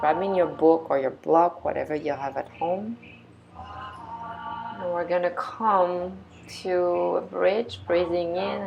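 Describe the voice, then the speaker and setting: A woman talks at a very slow pace while noticeable background noise carries on around her. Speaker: yoga teacher. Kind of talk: guided yoga class.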